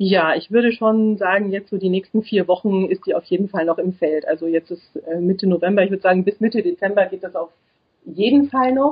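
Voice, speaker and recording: A somewhat breathy woman's voice at a fairly quick pace, with ordinary pitch variation. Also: medium pitch for a woman. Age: 30s. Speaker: psychology student and single mother. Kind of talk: interview.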